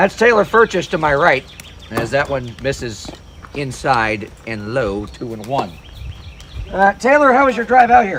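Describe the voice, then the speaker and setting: A man speaks fairly slowly in a fairly high pitch, with long, frequent pauses and noticeable background noise. His pitch swings very widely and his loudness shifts a lot. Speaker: play-by-play announcer. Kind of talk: live commentary. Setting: broadcast booth at a wiffle ball game.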